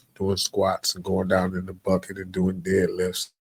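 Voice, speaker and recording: Recorded with a dry, close sound and no echo, a man speaks at a fairly low pitch and moderate pace. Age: 50s. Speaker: podcast host. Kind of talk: casual monologue. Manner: halting, repetitive.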